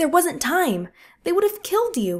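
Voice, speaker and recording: A squeaky, put-on character voice talks at a moderate pace. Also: woman. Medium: read story.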